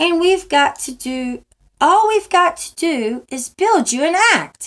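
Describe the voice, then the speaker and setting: Putting on a character voice, a woman squeaks at an extremely high pitch and a fairly slow pace. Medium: read story.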